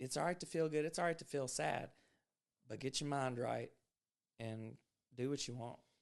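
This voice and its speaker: A man speaks at a medium pitch and a moderate pace. He leaves long, frequent pauses, and his pitch varies in an ordinary way. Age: 30s. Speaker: podcast host. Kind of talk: casual chat.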